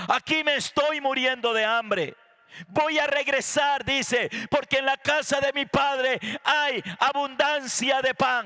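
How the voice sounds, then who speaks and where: The voice is raised and projected, with a bright, sharp tone, very even loudness, and a very slow pace. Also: man, extremely high pitch for a man, ordinary pitch variation. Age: 60s. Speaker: pastor. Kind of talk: sermon.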